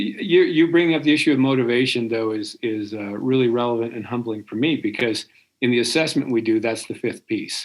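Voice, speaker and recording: A man's ordinary speaking voice at medium pitch, with ordinary pitch variation and a fairly quick pace. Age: 60s. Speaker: career coach. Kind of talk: podcast discussion.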